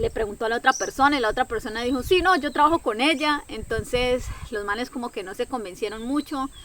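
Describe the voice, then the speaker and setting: Speaking at a very fast pace, a woman uses a high pitch and lively intonation. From Colombia, Caquetá. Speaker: travel content creator. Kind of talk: personal storytelling vlog. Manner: animated.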